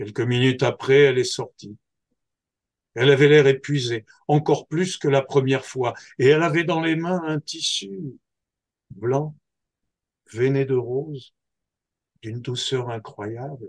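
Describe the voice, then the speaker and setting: A man's medium-pitched, somewhat breathy voice at a very slow pace, with ordinary pitch variation and long, frequent pauses. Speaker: storyteller. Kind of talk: oral folktale telling.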